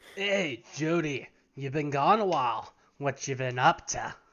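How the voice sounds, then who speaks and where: Putting on a raspy character voice, a man speaks at a fairly high pitch and a moderate pace. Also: ordinary pitch variation. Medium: actual play. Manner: casual, knowing.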